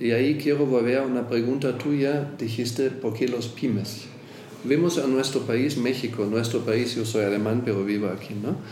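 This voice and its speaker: Medium in pitch, a man speaks at a moderate pace with fairly even intonation. Room echo is audible. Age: 50s. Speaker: insurance executive. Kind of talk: interview.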